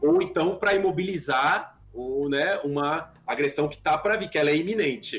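Against music in the background, a man with a fairly high pitch speaks at a moderate pace with ordinary pitch variation and hardly any pauses. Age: 30s. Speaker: gaming YouTuber. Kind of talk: casual chat.

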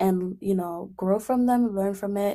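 In a very clean recording with a silent background, a woman with a dark, mellow tone speaks at a medium pitch with fairly even intonation. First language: not English. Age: 20s. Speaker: podcast host. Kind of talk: casual monologue. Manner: frequent laughter; filler-heavy, halting.

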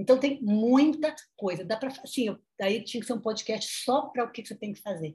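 Speaking in a plain, everyday voice, a woman moves at a fairly quick pace with a fairly high pitch and lively intonation. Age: 50s. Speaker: nutritionist and sociology professor. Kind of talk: interview.

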